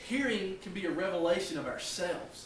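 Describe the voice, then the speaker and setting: Noticeable background noise behind a man's high-pitched voice, with ordinary pitch variation and a moderate pace. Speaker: cowboy church minister. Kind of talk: sermon delivered to a congregation.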